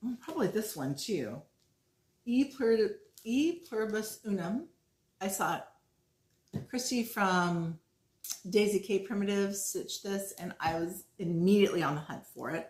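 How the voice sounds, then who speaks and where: A woman's enthusiastic, somewhat breathy speech at a moderate pace, broken by long, frequent pauses. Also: medium pitch for a woman, lively intonation. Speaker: flosstube cross-stitch vlogger. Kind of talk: casual show-and-tell vlog. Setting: at home. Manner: chatty, enthusiastic.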